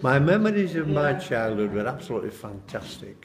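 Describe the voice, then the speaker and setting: A man with a Yorkshire accent at a moderate pace, with audible room echo and noticeable background noise. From Bradford, West Yorkshire, England. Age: 70s. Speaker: local resident, history group member. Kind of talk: reminiscence interview.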